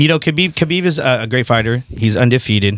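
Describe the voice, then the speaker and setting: Very fast speech from a man, ordinary pitch variation, dry sound with no echo and a quiet background. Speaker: radio host. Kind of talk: casual interview. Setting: studio. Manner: laid-back. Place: studio. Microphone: studio mic.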